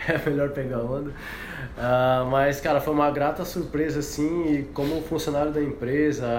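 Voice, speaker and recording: Over noticeable background noise and audible room echo, a man with a fairly high pitch talks at a fairly slow pace. His intonation is monotone and flat, with hardly any pauses. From Paraná, Brazil. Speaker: professional surfer and company employee. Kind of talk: casual chat.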